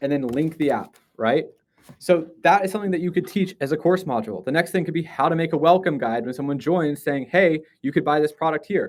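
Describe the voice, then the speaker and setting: A man's fairly high voice at a fairly quick pace, with ordinary pitch variation. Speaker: live stream teacher. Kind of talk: live stream tutorial. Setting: live stream. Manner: fast.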